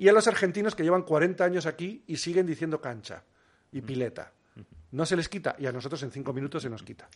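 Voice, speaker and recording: In an unremarkable speaking voice, a man with a fairly high pitch talks at a fairly quick pace over a quiet background. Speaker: biologist and documentary filmmaker. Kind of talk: interview conversation.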